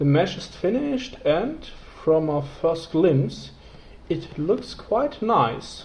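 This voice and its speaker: High-pitched male speech with very wide pitch swings, a very slow pace and noticeable background noise. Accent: non-native. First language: not English. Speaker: 3D scanning hobbyist reviewer. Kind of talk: casual tutorial. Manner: halting, many fillers.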